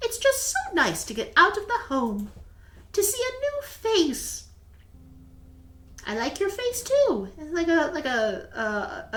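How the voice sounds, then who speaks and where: A woman puts on a squeaky character voice at an extremely high pitch with very wide pitch swings. She speaks fairly slowly, with long, frequent pauses. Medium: game stream. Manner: gentle, soft-spoken.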